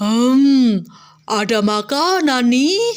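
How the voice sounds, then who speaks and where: A woman puts on a character voice pitched high. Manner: menacing, threatening.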